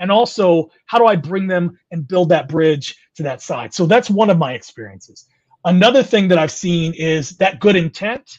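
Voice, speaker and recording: Speaking at a moderate pace with an American accent, this voice has a lively, bouncing intonation. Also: man, high pitch for a man. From California. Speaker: DEI consultant, HR professional. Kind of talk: interview.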